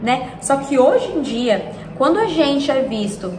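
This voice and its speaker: A woman speaks at a very slow pace in a high pitch. Noticeable background noise and audible room echo surround her voice. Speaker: self-development youtuber. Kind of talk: casual reflective monologue.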